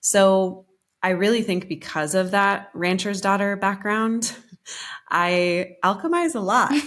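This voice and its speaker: In an unremarkable speaking voice with an American accent, a woman talks at a fairly slow pace and medium pitch with ordinary pitch variation, on a very clean recording with a silent background. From Colorado, US. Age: 30s. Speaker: business coach. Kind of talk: podcast interview.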